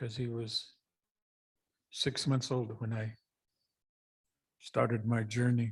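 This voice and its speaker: Speaking at a very slow pace with long, frequent pauses, a man uses a medium-pitched, somewhat breathy voice and monotone, flat intonation. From US Pacific Northwest, Columbia River. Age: 70s. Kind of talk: storytelling talk at a public event.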